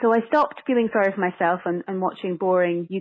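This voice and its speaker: Her voice sits at a medium pitch, and this woman speaks with a Scottish accent. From Scotland. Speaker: actress and screenwriter. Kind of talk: interview. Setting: phone call.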